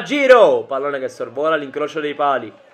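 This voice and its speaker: Noticeable background noise runs under this man's voice. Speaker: sports commentator. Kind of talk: sports match highlights commentary. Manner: fast, clipped, rattling off match events; neutral, energetic play-by-play delivery.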